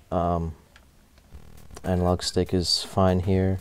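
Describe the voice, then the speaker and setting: Over music in the background, a man speaks at a very deep, low pitch with fairly even intonation. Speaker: gaming hardware reviewer. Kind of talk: product review talk to camera. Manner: monotone, flat.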